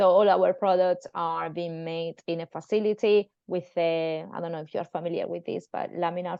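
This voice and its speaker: A woman with a Spanish accent speaks at a moderate pace with fairly even intonation. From Spain. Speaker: pharmacist. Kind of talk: online presentation and interview. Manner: halting.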